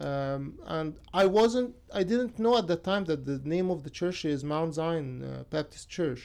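A man speaks with an Arabic accent at a fairly slow pace, his pitch fairly high. His intonation is lively, and he hardly pauses at all. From Egypt. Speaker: photographer and graduate student. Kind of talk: radio interview. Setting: radio studio.

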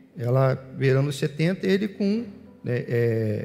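A man's somewhat breathy voice has a dark, mellow tone and lively intonation. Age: 40s. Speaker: pastor. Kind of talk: sermon.

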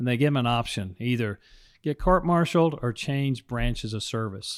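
A man with an American accent speaks in a normal speaking voice at a fairly quick pace, with a medium pitch and lively intonation, in a very clean recording with a silent background. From Texas. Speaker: pastor. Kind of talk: casual chat.

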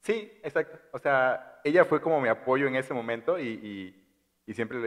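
Talking at a moderate pace, a man uses lively intonation at a medium pitch. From Chiapas, Mexico (Tuxtla). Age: 20s. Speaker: podcast guest. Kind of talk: casual chat.

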